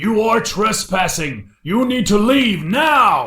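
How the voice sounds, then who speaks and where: Someone shouts in a put-on character voice with a fairly high pitch. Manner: shouting, commanding.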